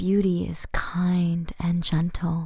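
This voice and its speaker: A soft-spoken woman talks in a fairly low, somewhat breathy voice with a dark, mellow tone. Her intonation is monotone and flat. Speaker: poetry reader. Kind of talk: ASMR poetry reading.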